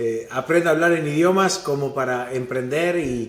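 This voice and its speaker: With an Argentine accent, a man speaks at a fairly slow pace and with ordinary pitch variation. Audible room echo surrounds his voice. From Argentina, Buenos Aires. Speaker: venture capital investor. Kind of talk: interview.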